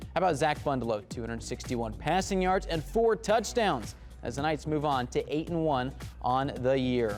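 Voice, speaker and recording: A man keeps a moderate tempo while music runs underneath. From Indianapolis, US. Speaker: sports anchor and reporter. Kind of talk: TV sports broadcast delivery.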